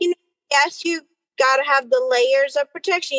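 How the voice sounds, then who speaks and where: The sound is dry and close, with no echo. The speaker has an American accent. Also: woman. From US Northeast, New York City. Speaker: obstetrician-gynecologist. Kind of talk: casual interview.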